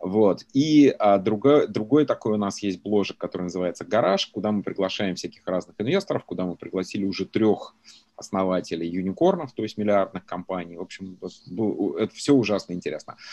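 With a dark, mellow tone and a fairly low pitch, a man speaks at a fairly quick pace. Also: ordinary pitch variation, dry, close sound with no echo. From Russia, Belgorod region. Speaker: venture capitalist. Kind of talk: interview.

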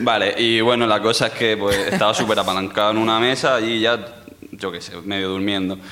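This is an unremarkable speaking voice. It belongs to a man. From Murcia, Spain. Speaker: audience member. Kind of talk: storytelling on stage. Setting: stage with audience.

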